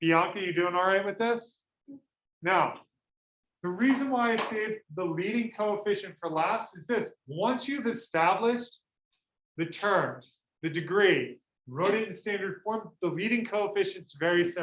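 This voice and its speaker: A loud, high-pitched man at a fairly slow pace, with ordinary pitch variation. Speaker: high school math teacher. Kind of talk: classroom lecture. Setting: classroom with students.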